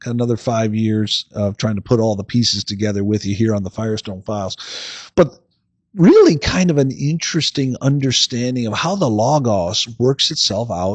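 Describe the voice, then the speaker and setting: An ordinary speaking voice with lively intonation at a moderate pace, against a quiet background. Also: man. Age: 60s. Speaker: philosophy podcast host. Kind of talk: lecture-style podcast monologue. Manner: casual, with fillers and repetitions.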